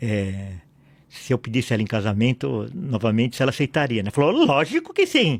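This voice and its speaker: His medium-pitched, moderately paced speech has lively intonation and a plain, everyday voice. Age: 60s. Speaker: pastor and lawyer. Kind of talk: podcast interview.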